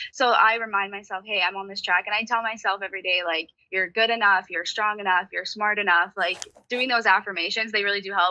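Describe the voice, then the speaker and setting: A bubbly woman's voice at medium pitch, rushing along at a very fast pace. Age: 20s. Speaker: sports team sales executive, former college athlete. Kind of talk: interview. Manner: bubbly and loud.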